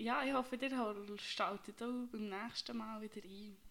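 A normal speaking voice from a woman, fairly high in pitch and fairly slow in pace. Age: 20s. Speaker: podcast co-host, veterinary assistant. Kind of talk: casual chat.

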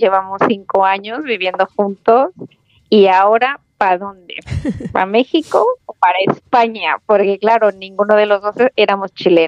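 Speaking at a fairly slow pace, a woman holds a medium pitch with fairly even intonation. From Mexico, Aguascalientes. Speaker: mother abroad. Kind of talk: casual chat.

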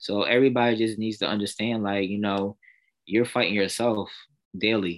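With an American accent and a fairly low pitch, a man talks at a moderate pace with fairly even intonation in a very clean recording over a silent background. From Pennsylvania. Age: 20s. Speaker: pastor's son and church musician. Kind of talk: podcast interview, testimony.

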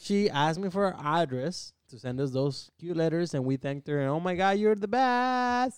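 A man speaks in an animated tone with a high pitch and very wide pitch swings. The background is quiet. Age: 20s. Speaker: podcast co-host. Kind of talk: casual chat.

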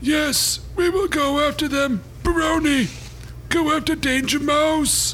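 A put-on character voice moves at a fairly slow pace over clear background noise. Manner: scheming, commanding.

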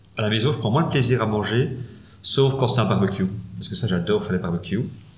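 Very rapid delivery comes with pitch that varies in an ordinary way. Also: man. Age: 40s. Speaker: funeral administration advisor. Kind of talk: interview.

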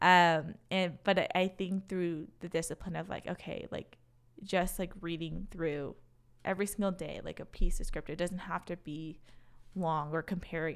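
An unremarkable speaking voice with an American accent moves at a moderate pace with fairly even intonation, in a very clean recording with a silent background. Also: woman. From Wisconsin, US; Racine, Wisconsin. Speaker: former college dance team member, HR professional. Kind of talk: casual interview chat.

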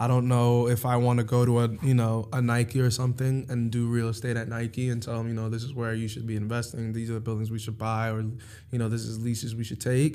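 A man's dark, mellow voice with a New York accent, medium pitch, monotone, flat intonation and hardly any pauses, with audible room echo. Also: fairly quick pace. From New York (Harlem and Long Island). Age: 20s. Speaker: finance professional. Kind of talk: casual chat.

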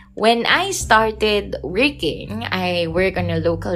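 A woman talks over noticeable background noise. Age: 20s. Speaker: podcast host. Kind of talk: casual monologue.

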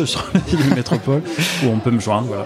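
A man's medium-pitched voice varies in pitch in an ordinary way, with noticeable background noise present. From France, Nantes. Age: 30s. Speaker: city councillor. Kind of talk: interview. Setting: brasserie. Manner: hesitant.

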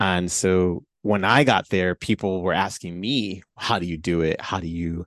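The man's pitch is very deep and low. The sound is dry and close with no echo, over a quiet background. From Chicago. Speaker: video game composer. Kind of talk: casual podcast interview.

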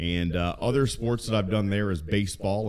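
With an American accent, a man uses an ordinary speaking voice at a fairly low pitch, with ordinary pitch variation and a moderate pace. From Maryland, US. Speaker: podcast co-host and sports announcer. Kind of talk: casual chat. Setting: home basement.

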